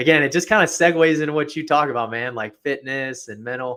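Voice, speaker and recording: With an American accent, a man speaks at a fairly quick pace in a bright, sharp tone with ordinary pitch variation. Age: 30s. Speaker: property manager. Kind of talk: casual chat. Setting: live stream. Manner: animated.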